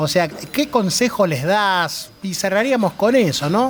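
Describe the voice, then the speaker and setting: A man at a very slow pace, high in pitch with very wide swings, amid noticeable background noise. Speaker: radio host. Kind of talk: interview. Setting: bar.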